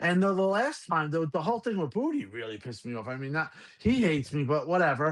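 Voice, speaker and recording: Speaking with a New York accent, a man with a fairly high pitch talks at a very fast pace. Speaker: gaming podcast host. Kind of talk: casual chat. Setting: live stream. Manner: halting.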